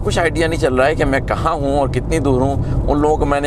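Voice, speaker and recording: A man at a moderate pace, dry sound with no echo, over noticeable background noise. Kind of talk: casual vlog chat. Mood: relaxed reminiscing. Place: car. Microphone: camera far.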